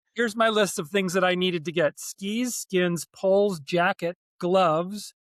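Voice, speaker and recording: Fairly even intonation at a moderate pace, with a dry, close sound with no echo on a very clean recording with a silent background. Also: man, high pitch for a man. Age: 60s. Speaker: ski mountaineering racer, ski distributor. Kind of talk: casual interview. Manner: halting, many fillers.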